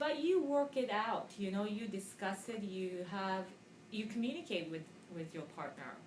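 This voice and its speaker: A woman with a Japanese accent speaks at a moderate pace and medium pitch, her intonation lively, with audible room echo and noticeable background noise. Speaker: ESL teacher. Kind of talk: interview.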